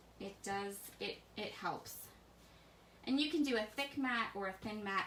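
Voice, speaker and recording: Lively intonation in an American accent at a fairly slow pace, with noticeable background noise and audible room echo. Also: woman. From US, Pennsylvania then various places. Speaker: scrapbooking instructor. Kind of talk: live craft tutorial. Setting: Facebook live stream. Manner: soft-spoken.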